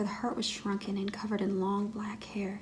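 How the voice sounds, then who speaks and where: Noticeable background noise sits behind a woman who is soft-spoken. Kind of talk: ASMR story reading.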